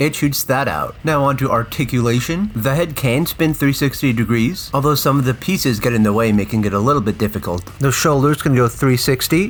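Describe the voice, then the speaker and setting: With a normal speaking voice, a man talks at a fairly quick pace and medium pitch, his loudness very even, his pitch variation ordinary, and hardly any pauses. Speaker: toy reviewer. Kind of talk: product review.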